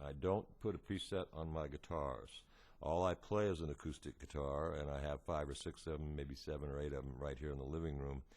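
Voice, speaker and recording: Against a quiet background, a man with a very deep, low voice talks at a fairly quick pace with fairly even intonation. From United States. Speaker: singer-songwriter and guitarist. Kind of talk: tutorial. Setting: home living room.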